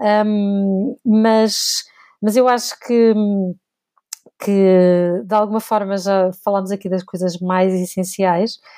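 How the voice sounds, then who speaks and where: A woman speaks very slowly in a dark, mellow tone, with fairly even intonation and long, frequent pauses. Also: medium pitch for a woman. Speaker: podcast co-host, museum information specialist. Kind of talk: casual chat.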